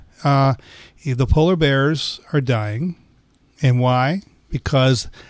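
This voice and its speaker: A man speaks at medium pitch with a plain, everyday voice. The recording is very clean, with a silent background. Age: 60s. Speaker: physician and gynecologist. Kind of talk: health podcast discussion.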